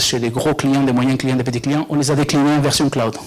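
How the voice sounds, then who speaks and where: Against noticeable background noise, a man speaks in a flat monotone at a medium pitch. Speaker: software company representative. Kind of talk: product presentation. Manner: halting, many fillers.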